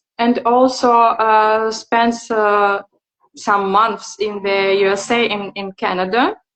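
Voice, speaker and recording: A woman with a non-native accent speaks very slowly at a fairly high pitch with fairly even intonation. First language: not English. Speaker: interviewer. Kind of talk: interview. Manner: halting, many fillers.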